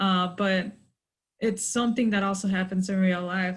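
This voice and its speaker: A woman with a Spanish accent speaks at a moderate pace in a medium pitch, somewhat breathy, with fairly even intonation, on a very clean recording with a silent background. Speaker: author on a panel. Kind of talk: virtual panel discussion.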